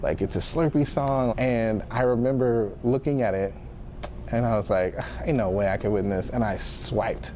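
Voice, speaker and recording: A man speaks at a moderate pace with ordinary pitch variation over noticeable background noise. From Fort Smith, Arkansas. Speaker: rapper. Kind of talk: interview. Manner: casual, filler-heavy.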